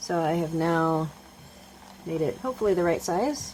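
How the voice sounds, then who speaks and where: Noticeable background noise sits behind a woman speaking at a fairly slow pace in a fairly low pitch. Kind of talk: tutorial. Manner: soft-spoken; halting.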